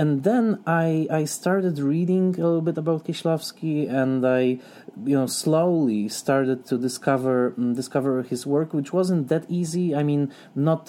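A man with a Polish accent speaks at a moderate pace, his dark, mellow tone carrying ordinary pitch variation. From southern Poland. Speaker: film critic and scholar. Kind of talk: interview.

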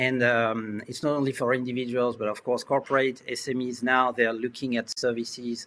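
A man with a French accent, medium pitch and a bright, sharp tone. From France. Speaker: insurance innovation executive. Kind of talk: webinar panel discussion. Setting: video call.

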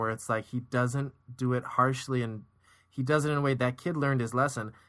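In a very clean recording with a silent background, a man speaks at a fairly quick pace and a medium pitch with fairly even intonation and a plain, everyday voice. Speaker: podcast co-host, educator. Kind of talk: casual conversational review, analytical. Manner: measured, articulate, analytical.

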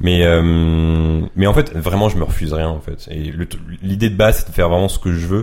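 A man speaks at a moderate pace in a very deep, low voice with fairly even intonation. Noticeable background noise is present. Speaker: YouTuber and photographer. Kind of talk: casual chat.

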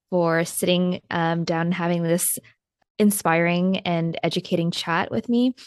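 Here a woman speaks at a fairly slow pace. Her intonation is fairly even. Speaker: podcast host. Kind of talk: scripted intro and interview.

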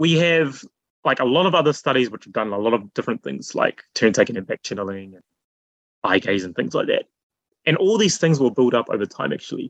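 A man talks at a very fast pace with vocal fry and very wide pitch swings, recorded with a dry, close sound and no echo. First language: not Japanese. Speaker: AI researcher. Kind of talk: interview.

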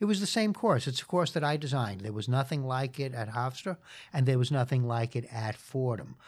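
A man in a New York accent, at a fairly quick pace and medium pitch, with lively intonation, on a very clean recording with a silent background. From New York City (Queens). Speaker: lawyer and law professor. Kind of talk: interview. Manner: frequent fillers.

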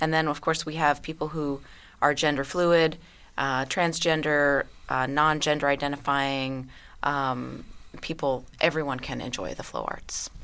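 A woman with an American accent speaks at a fairly slow pace in a very deep, low pitch and a monotone, flat intonation. The recording is very clean, with a silent background. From US South, Louisiana and Southeast Texas. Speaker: performance artist and hoop dancer. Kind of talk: casual interview. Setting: studio.

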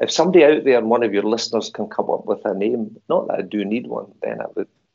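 A man with a Glaswegian accent, talking at a very fast pace. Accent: Glaswegian Scottish. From Scotland, Glasgow. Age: 60s. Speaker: movement and stress coach. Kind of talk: interview. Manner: halting.

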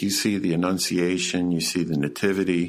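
The man's pitch is very deep and low. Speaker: podcast host. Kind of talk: casual chat. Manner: halting.

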